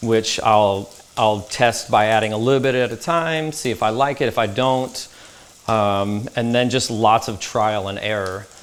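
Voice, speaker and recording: This man speaks with a Texan accent at a fairly slow pace. His medium pitch shows ordinary variation. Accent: Texan American. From Dallas, Texas. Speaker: chef. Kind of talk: interview answer.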